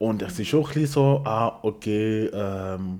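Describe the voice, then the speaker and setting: Pitched fairly low, a man with a normal speaking voice talks with ordinary pitch variation. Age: 30s. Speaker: podcast guest. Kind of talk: casual chat.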